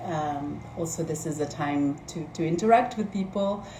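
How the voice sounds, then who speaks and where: Noticeable background noise and audible room echo surround this woman. She speaks fairly slowly at a fairly low pitch with ordinary pitch variation. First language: Spanish. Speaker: organizer at a feminist think tank, live stream host. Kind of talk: live stream introduction. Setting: Instagram live stream. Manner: hesitant, many fillers.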